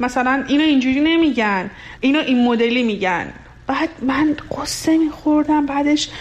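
With a Lorestan accent, a woman speaks at a moderate pace in a high voice with ordinary pitch variation and very even loudness, while noticeable background noise runs underneath. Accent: Luri-accented Persian. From Iran, Lur region. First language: Luri (speaking Persian). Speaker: radio listener sharing experience. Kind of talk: personal testimony.

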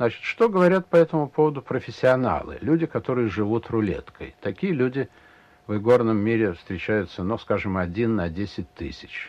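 Medium pitch from a man, marked by very wide pitch swings. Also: moderate pace. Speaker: casino regular. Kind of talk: interview.

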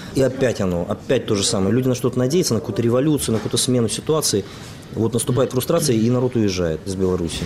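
The speech comes at a very fast pace with lively intonation and very even loudness, over noticeable background noise. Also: man, medium pitch for a man. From Belarus. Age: 30s. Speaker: graduate student. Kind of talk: panel discussion.

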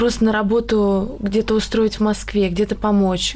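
Noticeable background noise sits behind a woman talking at a moderate speed. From Karelia, Russia. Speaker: beauty queen. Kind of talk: radio talk show discussion. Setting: studio.

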